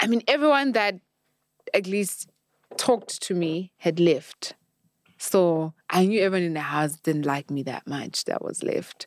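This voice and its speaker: At a fairly slow pace, the voice swings very widely in pitch, with a dry, close sound and no echo. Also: woman, medium pitch for a woman. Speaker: reality TV show winner. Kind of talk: casual chat. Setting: studio.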